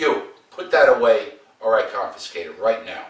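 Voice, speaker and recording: Putting on a character voice, a man growls at an extremely high pitch and moderate pace, with slight echo. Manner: stern, growling.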